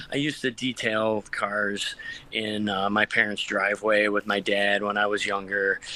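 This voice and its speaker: A man with a Western New York accent and a fairly low pitch, amid noticeable background noise. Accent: Western New York (Inland North) American. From Rochester, New York. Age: 50s. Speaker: car detailer, small business owner. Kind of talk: casual interview chat.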